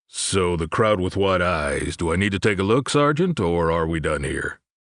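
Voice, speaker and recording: Putting on a character voice, a man speaks in a very deep, low pitch with lively intonation. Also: moderate pace. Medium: read story.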